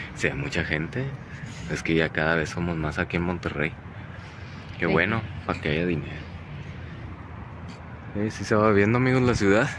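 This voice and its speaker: The sound is dry, with no echo at all. Long pauses come often, over noticeable background noise. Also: man, very deep, low pitch for a man, moderate pace. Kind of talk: casual vlog chat. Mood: relaxed, chatty. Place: open country. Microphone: phone near.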